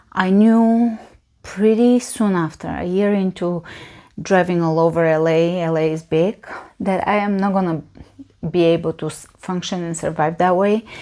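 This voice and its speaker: On a very clean recording with a silent background, a woman with a Bulgarian accent speaks at a moderate pace in a dark, mellow tone. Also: medium pitch for a woman. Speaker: yoga teacher. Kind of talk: casual Q&A monologue. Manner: hesitant, filler-heavy.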